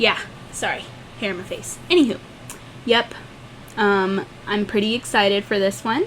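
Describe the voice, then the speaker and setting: At a moderate pace and medium pitch, a woman talks with ordinary pitch variation and long, frequent pauses. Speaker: podcast co-host. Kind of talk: casual chat. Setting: home room with doors open. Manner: loud.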